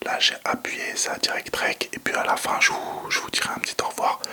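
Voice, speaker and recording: Whispering in a relaxed tone over noticeable background noise. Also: man. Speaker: ASMR content creator. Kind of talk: ASMR whispering video addressed to viewers. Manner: whispered, relaxed, casual.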